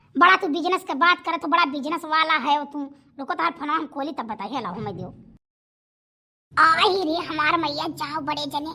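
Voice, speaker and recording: A woman speaks in a cartoonish character voice, high-pitched and at a fairly quick pace. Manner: loud, scolding, accusatory.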